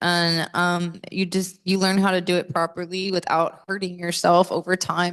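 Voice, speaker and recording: In a Southern US accent, a woman talks at a moderate pace with a fairly low pitch and a monotone, flat delivery. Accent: Southern American. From US South. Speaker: metal singer. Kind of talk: interview.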